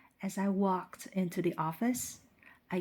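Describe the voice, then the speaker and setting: A woman with a Chinese accent, fairly low pitch and ordinary pitch variation, on a very clean recording with a silent background. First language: Mandarin Chinese. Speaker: English teacher. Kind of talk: scripted narration for language practice. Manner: slow, clear.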